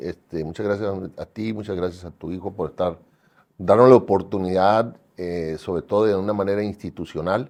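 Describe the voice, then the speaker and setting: Pitched fairly low, a man's voice proceeds at a moderate pace. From Mexico, Sinaloa (Mazatlán). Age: 60s. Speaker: cattle rancher and breeders' association treasurer. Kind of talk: interview. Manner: hesitant, many fillers.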